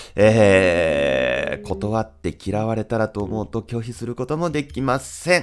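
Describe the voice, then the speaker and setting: A man's fairly low pitch in a relaxed, calm tone, with very wide pitch swings. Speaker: podcast host. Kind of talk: solo podcast talk answering listener mail. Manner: relaxed, calm pace; many filler words.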